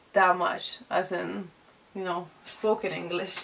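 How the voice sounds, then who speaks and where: Over noticeable background noise, a woman with a Lithuanian accent speaks at a very slow pace and medium pitch in a monotone, flat intonation. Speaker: vlogger and illustrator. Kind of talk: casual vlog chat. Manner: halting.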